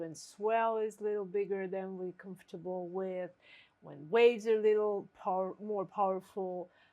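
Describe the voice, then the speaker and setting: On a very clean recording with a silent background, a woman with a normal speaking voice and a medium pitch talks at a fairly slow pace. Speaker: qigong teacher. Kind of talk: casual instructional talk.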